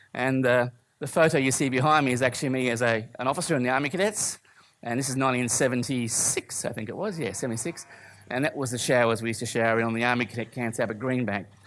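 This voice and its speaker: Talking very fast, a man with an Australian accent uses medium pitch with ordinary pitch variation. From Australia, Brisbane. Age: 50s. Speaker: church speaker, former musician. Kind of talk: testimony.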